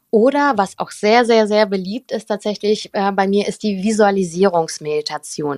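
A woman with a warm tone and medium pitch speaks with ordinary pitch variation in a dry, close sound with no echo. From Germany (Cologne), born in St. Petersburg. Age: 20s. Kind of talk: casual interview. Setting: live audio room. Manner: warm and bright.

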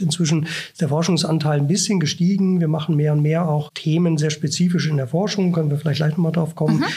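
With a dark, mellow tone, a man talks in a high pitch. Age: 40s. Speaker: professor. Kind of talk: interview. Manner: hesitant, many filler sounds.

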